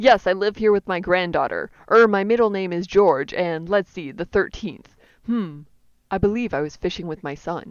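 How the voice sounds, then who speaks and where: A woman uses a put-on character voice, strained and croaky at a medium pitch. She keeps a moderate pace while her loudness swings widely. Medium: solo performance.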